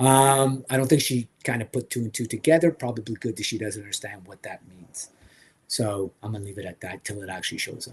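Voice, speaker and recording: The voice is somewhat breathy, moving at a fairly quick pace with big swings in loudness. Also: man, medium pitch for a man, ordinary pitch variation. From French Canada. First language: French. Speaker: toy collector livestream host. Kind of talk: casual livestream chat. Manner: hesitant, many fillers.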